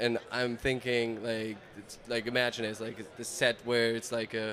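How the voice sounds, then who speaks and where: A man's medium-pitched voice, monotone and flat in intonation, at a fairly slow pace. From Germany. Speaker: advertising creative and content creator. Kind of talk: casual chat. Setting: trade convention.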